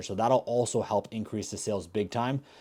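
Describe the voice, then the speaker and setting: A man's dark, mellow tone comes through in a very clean recording with a silent background. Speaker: Amazon seller and YouTuber. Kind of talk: vlog-style business tips. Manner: casual, energetic.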